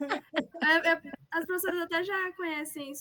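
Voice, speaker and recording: A raised, projected voice with a bright, sharp tone carries fairly even intonation. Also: woman. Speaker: student presenting thesis. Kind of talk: casual chat. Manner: fast.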